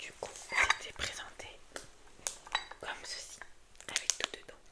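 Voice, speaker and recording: A woman whispers very slowly in a calm tone. Noticeable background noise can be heard. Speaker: ASMR creator. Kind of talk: ASMR whispered haul video to camera. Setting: indoors at night, close microphone. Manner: whispered, calm, soft.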